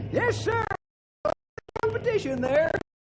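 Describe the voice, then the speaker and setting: Over music in the background comes a squeaky, put-on character voice. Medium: old radio play. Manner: folksy, chuckling.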